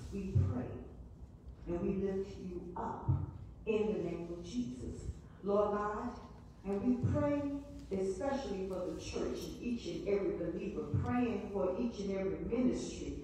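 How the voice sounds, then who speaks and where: Speaking at a fairly slow pace with long, frequent pauses, a woman is heard in strong room echo over light background noise. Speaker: Sunday school teacher. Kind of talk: spoken prayer. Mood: earnest, fervent. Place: church. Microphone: camera far.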